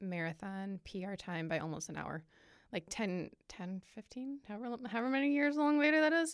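A woman with an American accent and a plain, everyday voice talks at a moderate pace with lively intonation on a very clean recording with a silent background. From Michigan. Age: 30s. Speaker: ultrarunner. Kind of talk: casual chat.

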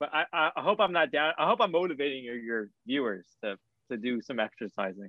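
A man's fairly high-pitched voice with very wide pitch swings. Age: 20s. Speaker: college student. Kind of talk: casual chat.

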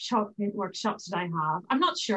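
A speaker with a Northern Irish accent talks with very wide pitch swings. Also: woman. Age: 40s. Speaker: interior designer. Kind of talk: casual chat.

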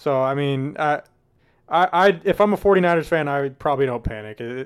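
On a very clean recording with a silent background, a man with an unremarkable speaking voice talks with ordinary pitch variation. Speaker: co-host. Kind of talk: casual sports recap chat.

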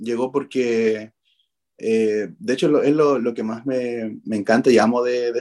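In a very clean recording with a silent background, a man talks fairly slowly at a medium pitch, his dark, mellow tone carrying monotone, flat intonation. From Chile, Arica. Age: 30s. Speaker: dancer. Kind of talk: radio interview. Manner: halting.

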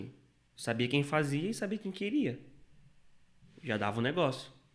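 The recording is very clean, with a silent background, as a man speaks at a moderate pace. His tone is bright and sharp, and his pitch swings very widely. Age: 20s. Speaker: stock market trader. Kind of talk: interview.

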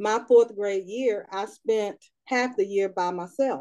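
Against a quiet background, a woman with a North Carolina accent speaks in a dark, mellow tone with ordinary pitch variation. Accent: Southern US (North Carolina). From North Carolina, Raleigh. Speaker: writing and editing business owner. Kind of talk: interview, personal storytelling.

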